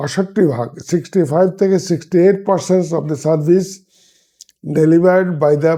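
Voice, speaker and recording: Dark, mellow tones from a man, his intonation fairly even. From Bangladesh, Feni district. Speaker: doctor and hospital executive. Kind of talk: interview.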